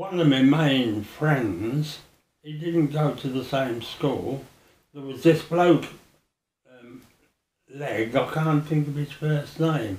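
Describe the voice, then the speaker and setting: Speaking very slowly with a Birmingham accent, a man pauses long and often, his voice somewhat breathy, his pitch varying ordinarily and his loudness swinging widely. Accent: Birmingham (Brummie). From Birmingham, Balsall Heath. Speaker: oral history interviewee. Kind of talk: oral history interview. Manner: halting.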